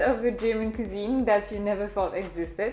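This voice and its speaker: A fairly high-pitched woman at a moderate pace, ordinary pitch variation, audible room echo and music in the background. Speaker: food vlogger. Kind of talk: vlog narration. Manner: frequent filler hesitations.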